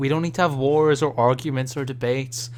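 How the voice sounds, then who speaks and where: A man speaks with a strong Scottish accent. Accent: thick Scottish. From Scotland. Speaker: gaming podcast co-host. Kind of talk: casual chat.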